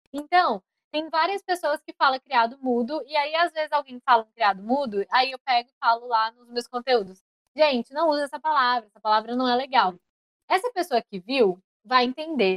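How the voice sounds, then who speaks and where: Her high-pitched voice has lively intonation and big swings in loudness as the woman goes at a moderate pace, the sound dry and close with no echo. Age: 20s. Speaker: podcaster. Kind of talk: casual chat.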